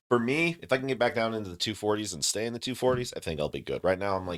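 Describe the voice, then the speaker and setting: His intonation lively, a man talks at a fairly low pitch. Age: 30s. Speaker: military veteran. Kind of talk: casual chat. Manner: fast.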